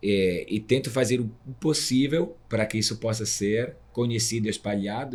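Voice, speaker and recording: At a moderate pace, a man talks with a fairly low voice. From Italy. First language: Italian (speaking Portuguese). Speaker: guaraná producer, association vice-president. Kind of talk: interview podcast conversation.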